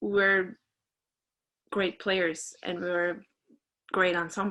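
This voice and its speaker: In a Norwegian accent, a woman speaks very slowly at a medium pitch, her bright, sharp tone flat and monotone on a very clean recording with a silent background. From Norway. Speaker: trumpeter. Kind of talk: interview. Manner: halting.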